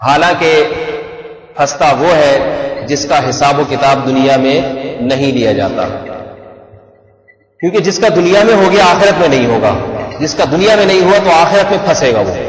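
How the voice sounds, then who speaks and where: Very slow speech with lively intonation and long, frequent pauses, plus noticeable background noise and audible room echo. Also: man, fairly high pitch for a man. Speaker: Islamic preacher. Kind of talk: sermon. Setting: PA system.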